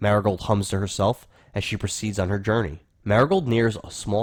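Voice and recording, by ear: Fairly even intonation in a natural voice reading aloud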